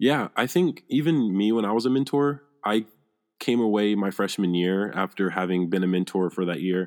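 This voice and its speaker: A man's normal speaking voice at fairly low pitch, moderate pace and lively intonation, in a very clean recording with a silent background. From US South, Alabama (Phenix City). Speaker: student mentor. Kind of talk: interview.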